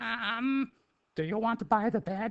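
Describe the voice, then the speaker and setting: The speaker uses a put-on character voice at a fairly slow pace. Its pitch sits fairly high. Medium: read story. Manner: hesitant, halting.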